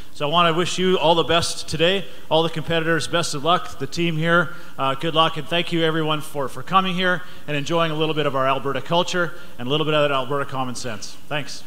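With fairly even intonation, a man rattles through his words at a very fast pace. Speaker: member of parliament. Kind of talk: welcome speech at a live event. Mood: warm, jovial. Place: hall.

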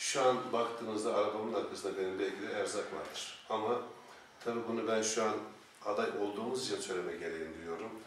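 With light background noise and audible room echo, a man speaks at a moderate pace in a medium pitch with fairly even intonation. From Eskişehir, Turkey. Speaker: political candidate. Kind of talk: formal interview. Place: office.

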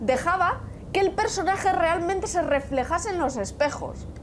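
Someone speaks at a fairly slow pace in a Castilian accent, with noticeable background noise. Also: woman. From Spain. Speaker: gaming youtuber. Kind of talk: gameplay commentary. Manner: casual, hesitant.

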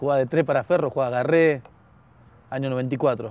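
This man's voice sits fairly high in pitch, with fairly even intonation and a dry sound that has no echo. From Argentina (Buenos Aires area). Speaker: former footballer; talk show guest. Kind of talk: casual chat; interview answer. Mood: cheerful, laughing storytelling. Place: garden. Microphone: lapel.

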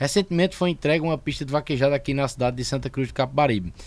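Very fast speech from a man, with ordinary pitch variation. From Brazilian Northeast (Paraíba). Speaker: podcast host. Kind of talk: casual chat. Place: studio. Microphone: studio mic.

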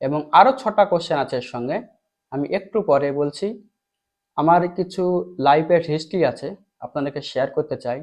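A man's normal speaking voice, fairly high in pitch, with lively intonation. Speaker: teacher. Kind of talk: tutorial.

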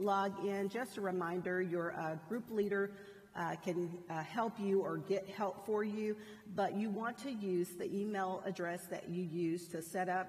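A woman's fairly slow, fairly even-toned delivery. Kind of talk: announcements to a class. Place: church. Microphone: headset.

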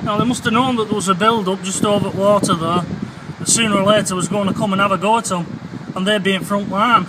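Speech runs at a fairly quick pace. Loud background noise is present. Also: man. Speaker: explorer vlogger. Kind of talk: casual vlog chat. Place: beach. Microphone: phone near.

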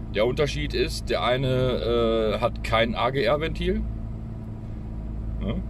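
The man speaks at a very slow pace. Noticeable background noise is present, though the sound is dry with no echo. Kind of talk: casual vlog commentary. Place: car. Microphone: phone near.

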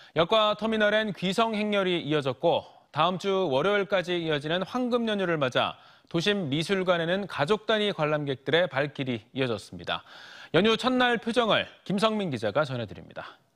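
A man's high-pitched voice with lively intonation, in a very clean recording with a silent background. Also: moderate pace. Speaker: news anchor. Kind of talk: news reading. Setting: studio. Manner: formal.

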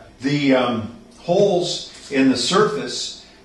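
This voice belongs to a man. The room adds clear echo. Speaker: carpenter demonstrating a tool. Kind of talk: tutorial. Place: garage.

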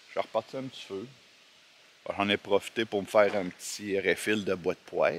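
A man with a Quebec accent and fairly low pitch, dry sound with no echo, light background noise. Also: fairly even intonation, moderate pace. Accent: Québécois French. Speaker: hiker vlogger. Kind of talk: casual vlog narration. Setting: outdoors. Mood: relaxed, unhurried. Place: forest. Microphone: phone near.

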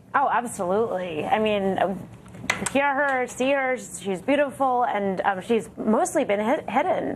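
Against noticeable background noise, a high-pitched woman speaks at a fairly slow pace with very wide pitch swings. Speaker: newspaper journalist. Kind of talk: political panel discussion. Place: studio.

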